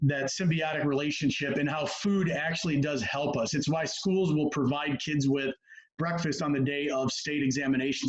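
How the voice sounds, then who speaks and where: A man speaks at a fairly high pitch. His intonation is fairly even and his loudness very even. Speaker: sports nutrition and performance coach. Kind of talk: presentation on a video call. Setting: video call. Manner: fast.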